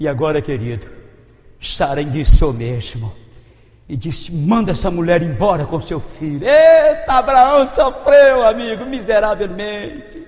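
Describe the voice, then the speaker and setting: With a high pitch and very wide pitch swings, a man talks at a moderate pace. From Minas Gerais, Brazil. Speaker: preacher. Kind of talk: sermon.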